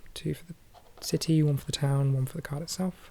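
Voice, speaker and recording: Soft-spoken and somewhat breathy, a woman with a very deep, low pitch and a dark, mellow tone speaks at a fairly quick pace with fairly even intonation. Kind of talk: ASMR board game playthrough narration.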